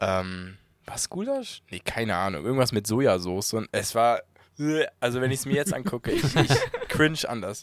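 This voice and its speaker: Recorded very cleanly with a silent background, a man talks at a moderate pace and medium pitch with very wide pitch swings. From Bremen. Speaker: videographer. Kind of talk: casual chat.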